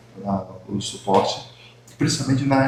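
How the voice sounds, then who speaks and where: Speaking at a moderate pace with fairly even intonation, a man is heard through audible room echo and noticeable background noise. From Brazil, Northeast (Rio Grande do Norte, Mossoró). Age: 60s. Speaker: talk show host, former health official. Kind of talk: casual chat. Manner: halting, many fillers and repetitions.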